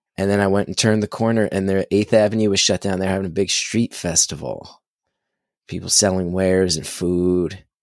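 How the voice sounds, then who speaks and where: A man with a New Jersey accent, fairly low in pitch and monotone, flat in intonation, on a very clean recording with a silent background. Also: fairly quick pace. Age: 40s. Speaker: comedian. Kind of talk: casual chat.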